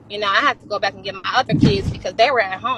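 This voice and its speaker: Words pour out at a very fast rate against noticeable background noise. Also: woman. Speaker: livestreamer and mother of seven. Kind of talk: heated interview.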